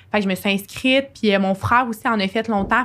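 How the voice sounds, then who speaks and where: A woman's plain, everyday voice at medium pitch, moderate pace and fairly even intonation, on a very clean recording with a silent background. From Quebec, Sherbrooke. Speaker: university student. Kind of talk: podcast interview, personal testimony.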